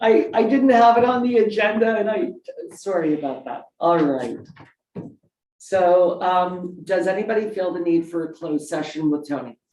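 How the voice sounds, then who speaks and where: A woman talks at a moderate pace with lively intonation and a medium pitch. Audible room echo surrounds her voice. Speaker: council chair. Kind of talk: council meeting.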